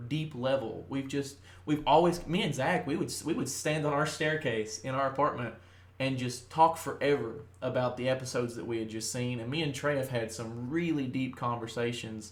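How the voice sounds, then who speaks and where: A somewhat breathy man with a Kentucky accent at a moderate pace, with audible room echo. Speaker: podcast host. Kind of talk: casual chat. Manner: talkative, with frequent fillers.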